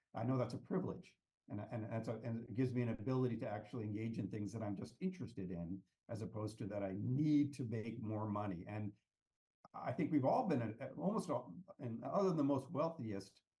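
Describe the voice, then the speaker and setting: Lively in intonation, a man with an American accent speaks at a fairly quick pace in a medium pitch, his tone dark, mellow and somewhat breathy. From US West Coast, Palo Alto California. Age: 60s. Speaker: economics and policy consultant. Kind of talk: podcast interview. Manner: halting, many repetitions.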